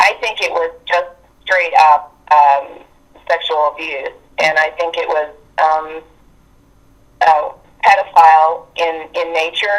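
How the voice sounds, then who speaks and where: A woman's fairly low voice with an American accent. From West Virginia. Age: 60s. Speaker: abuse survivor sharing experiences. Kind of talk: interview testimony. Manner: halting.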